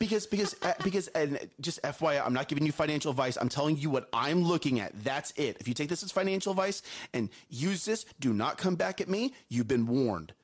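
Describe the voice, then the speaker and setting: A man speaks loudly in a fairly high voice at a fairly quick pace. His tone is animated, with very wide pitch swings. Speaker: morning show co-host. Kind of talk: casual chat. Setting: studio.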